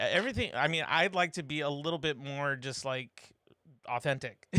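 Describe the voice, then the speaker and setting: Bright and sharp in tone, a man with a fairly high pitch speaks at a moderate pace with ordinary pitch variation. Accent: slight Californian. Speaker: live stream host. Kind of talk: casual chat. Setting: live stream. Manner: hesitant, many fillers.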